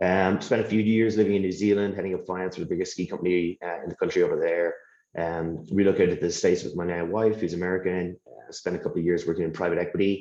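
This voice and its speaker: A man's very deep, low voice, dark and mellow in tone, with fairly even intonation, a very fast pace, and a quiet background. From Ireland. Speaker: finance executive. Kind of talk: panel discussion.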